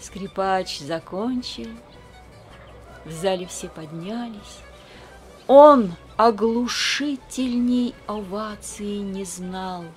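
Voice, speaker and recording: Over music in the background, a woman at a medium pitch talks at a very slow pace with long, frequent pauses. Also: ordinary pitch variation, big swings in loudness. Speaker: priest's wife, reader of poems on a religious channel. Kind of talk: poetry reading.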